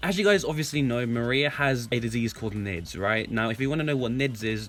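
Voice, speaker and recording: Over music in the background, a man speaks at a fairly quick pace and medium pitch with lively intonation. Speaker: YouTuber. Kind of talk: casual commentary. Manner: stutters.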